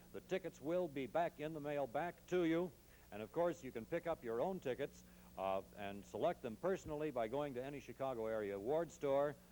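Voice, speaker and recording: Lively intonation marks this man's speech, delivered at a moderate pace with a fairly high pitch and a dark, mellow tone. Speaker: wrestling TV reporter. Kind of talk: wrestling promo announcement.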